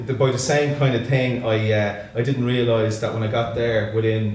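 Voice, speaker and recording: A man with a Dublin accent talks at a medium pitch with fairly even intonation. The room echo is audible and there is noticeable background noise. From Ireland, Dublin northside (Santry). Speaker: singer-songwriter and musician. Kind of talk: casual interview. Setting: studio.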